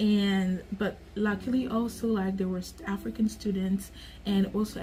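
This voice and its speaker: Music sounds in the background while the speaker keeps a moderate pace. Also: woman. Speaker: vlogger. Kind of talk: casual vlog monologue. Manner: animated.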